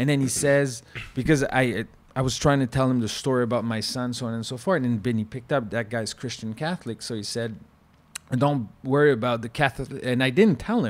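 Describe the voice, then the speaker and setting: A man with a French Canadian accent talks at a fairly quick pace with ordinary pitch variation. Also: medium pitch for a man. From Quebec. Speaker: former chef. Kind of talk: casual chat. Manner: animated.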